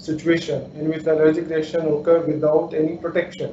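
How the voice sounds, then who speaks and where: A man at a very fast pace, over noticeable background noise. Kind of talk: lecture.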